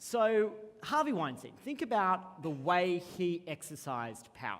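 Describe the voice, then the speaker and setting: High-pitched man with an Australian accent, very wide pitch swings, and a fairly slow pace. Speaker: co-founder and CEO, conference keynote speaker. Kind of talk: keynote speech. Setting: conference stage with audience.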